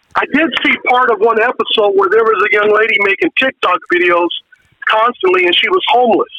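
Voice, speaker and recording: A man with an American accent speaks at an extremely high pitch for a man. His pace is fairly quick, and his pitch swings very widely. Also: very even loudness. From California. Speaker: caller. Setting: phone call.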